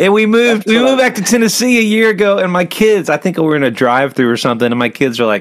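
High-pitched man at a very fast pace, hardly any pauses, very wide pitch swings and very even loudness. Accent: American. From US South; Atlanta, Georgia. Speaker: podcast host. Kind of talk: casual interview.

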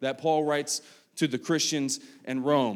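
This man has an Appalachian accent and talks at a moderate pace. The recording is very clean, with a silent background. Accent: Appalachian American. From US, West Virginia. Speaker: pastor. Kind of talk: sermon. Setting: church service with congregation. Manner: casual, halting with fillers.

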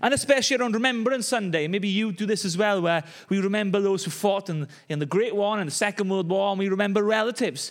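In a very clean recording with a silent background, a man with a Welsh accent talks at a very fast pace. His pitch is high, with ordinary variation. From Wales. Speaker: pastor. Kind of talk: sermon.

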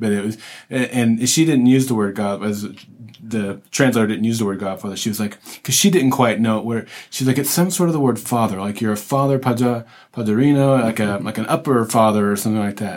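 In a plain, everyday voice, a man speaks at a fairly quick pace with a medium pitch and ordinary pitch variation. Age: 50s. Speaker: podcast host on a church mission trip. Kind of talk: casual interview. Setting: makeshift podcast booth in a hotel.

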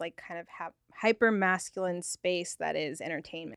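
Dry and close with no echo, a woman's medium-pitched, normal speaking voice moves at a moderate pace. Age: 30s. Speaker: podcast co-host. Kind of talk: casual interview. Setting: studio.

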